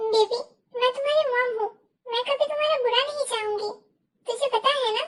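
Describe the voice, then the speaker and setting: A woman uses a squeaky, put-on character voice with extremely high pitch and fairly even intonation. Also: moderate pace. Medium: fan dub. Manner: coaxing yet domineering.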